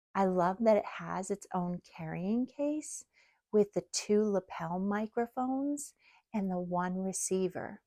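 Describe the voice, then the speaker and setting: A soft-spoken woman's dark, mellow voice at a medium pitch, in a dry, close sound with no echo. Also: ordinary pitch variation, fairly slow pace. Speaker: product reviewer. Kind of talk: product review. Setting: outdoors by the ocean.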